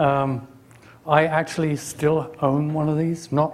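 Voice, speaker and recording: A man speaks with an English accent, his voice somewhat breathy. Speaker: technologist giving a conference talk. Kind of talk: conference presentation. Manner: hesitant, many fillers.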